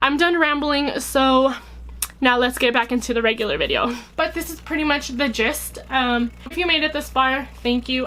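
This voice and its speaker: Raised and projected, a woman's high-pitched voice carries ordinary pitch variation. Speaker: vlogger. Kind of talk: personal vlog talk to camera. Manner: fast.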